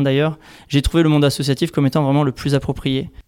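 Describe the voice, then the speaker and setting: A man speaks in a monotone, flat way at a fairly high pitch for a man. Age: 30s. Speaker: engineer working for an environmental nonprofit. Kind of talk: interview.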